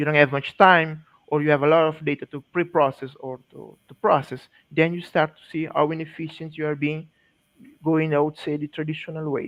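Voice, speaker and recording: With a non-native accent, a fairly high-pitched man talks at a fairly quick pace in a monotone, flat delivery, his loudness swinging widely. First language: not English. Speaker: GIS specialist presenter. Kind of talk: technical presentation. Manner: halting.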